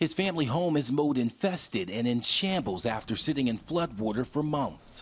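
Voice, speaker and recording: With a normal speaking voice, a man talks at a moderate pace with hardly any pauses, his fairly high pitch moving in lively intonation while his loudness stays very even. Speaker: TV news reporter. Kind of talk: TV news report.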